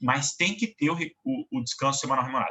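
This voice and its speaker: A man speaks with vocal fry. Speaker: law professor. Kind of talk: lecture. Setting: online class recording.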